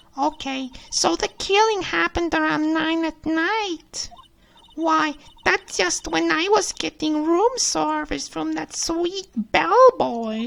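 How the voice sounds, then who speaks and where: A man puts on a character voice at an extremely high pitch, speaking at a fairly slow pace. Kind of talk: comic overacting. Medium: game stream. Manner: teasing, cutesy, flirtatious.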